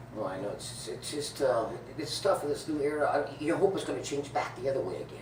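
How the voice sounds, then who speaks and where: Over noticeable background noise, a man speaks at a very fast pace with lively intonation. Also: fairly high pitch for a man. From Lake Havasu, Arizona. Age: 60s. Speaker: professional bowler. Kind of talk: interview answer.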